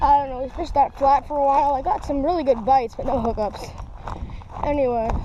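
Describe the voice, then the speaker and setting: There is noticeable background noise behind a woman speaking at a very fast pace. Her voice is high-pitched, with ordinary pitch variation. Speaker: fishing vlogger. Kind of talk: outdoor fishing vlog. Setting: outdoors by a lake.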